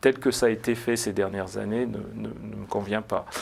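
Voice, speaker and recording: With vocal fry and monotone, flat intonation, the speaker talks at a fairly slow pace. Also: man. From France, Blois. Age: 40s. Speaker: political candidate. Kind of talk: TV interview. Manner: hesitant, many fillers.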